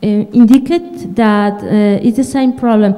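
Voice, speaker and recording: This woman speaks with a Spanish accent at a fairly slow pace. Her pitch is fairly high, with ordinary pitch variation. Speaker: audience member, graduate student. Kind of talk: audience question. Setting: conference hall with audience. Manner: halting. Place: hall.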